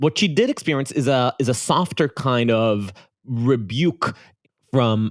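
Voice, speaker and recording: Lively intonation and an Israeli accent come through a dry, close sound with no echo on a very clean recording with a silent background. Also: man. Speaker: podcast co-host. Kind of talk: casual podcast intro chat.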